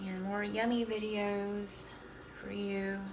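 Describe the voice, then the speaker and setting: A soft-spoken woman talks over noticeable background noise, with audible room echo. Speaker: cooking vlogger. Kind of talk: casual cooking tutorial.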